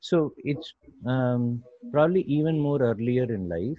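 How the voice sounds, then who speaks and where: The delivery moves at a fairly slow pace. It is an ordinary speaking voice. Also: man. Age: 40s. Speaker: tech entrepreneur and behavior coach. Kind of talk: interview.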